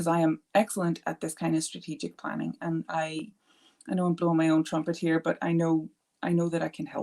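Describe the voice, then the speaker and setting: On a very clean recording with a silent background, a woman speaks at a fairly quick pace in a dark, mellow tone with monotone, flat intonation. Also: fairly low pitch for a woman. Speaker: art therapist. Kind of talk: live stream chat. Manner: fast.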